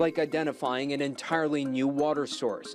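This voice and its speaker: A man speaks with music in the background. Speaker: TV news reporter and anchor. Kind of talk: TV news feature narration.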